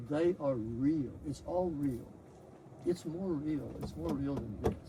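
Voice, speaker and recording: A man's fairly high voice with a Texan accent, lively intonation and a very slow pace, over noticeable background noise. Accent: Texan American English. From Texas. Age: 80s+. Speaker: spiritual disciple, scientist. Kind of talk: testimony. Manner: halting.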